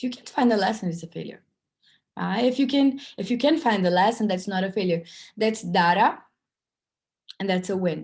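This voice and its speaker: Speaking fairly quickly yet with long, frequent pauses, a woman with a non-native accent and medium pitch sounds somewhat breathy, her intonation lively. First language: not English. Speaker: workshop speaker. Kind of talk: online festival talk.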